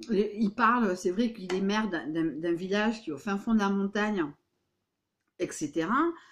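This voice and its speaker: A woman with a medium-pitched voice talks in an animated tone. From Béarn, southwest France. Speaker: vlogger. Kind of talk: casual vlog monologue. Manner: animated, with many hesitations.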